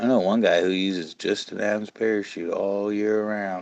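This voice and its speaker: In a quiet background, a man speaks at a fairly low pitch with fairly even intonation. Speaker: fly tier and fishing guide. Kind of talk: casual live-stream tutorial. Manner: casual, conversational.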